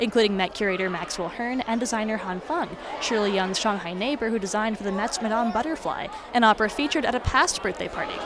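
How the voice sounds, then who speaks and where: Over noticeable background noise, a woman with a fairly high pitch speaks at a very fast pace with ordinary pitch variation, in a dry sound with no echo. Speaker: TV news reporter. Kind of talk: TV news feature narration.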